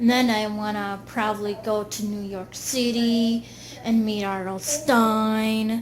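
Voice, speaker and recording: Audible room echo surrounds a woman who speaks at a fairly high pitch with fairly even intonation. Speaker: video blogger. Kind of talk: casual monologue.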